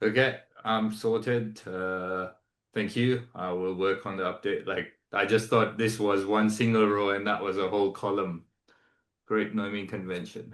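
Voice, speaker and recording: Speaking with a non-native accent, a man delivers his words at a moderate pace in a fairly low, monotone voice with flat intonation over a quiet background. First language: not English. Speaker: online community member. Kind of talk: casual group call.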